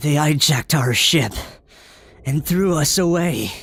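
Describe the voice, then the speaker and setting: This is a cartoonish character voice at a middle pitch. The pace is fairly slow. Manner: stubborn, proud.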